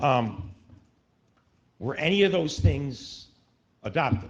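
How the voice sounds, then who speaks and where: A man talks at a very slow pace with very wide pitch swings and a somewhat breathy sound. Audible room echo surrounds him. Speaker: resident speaking at public comment. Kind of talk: public comment at council meeting. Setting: town council meeting. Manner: halting, many fillers.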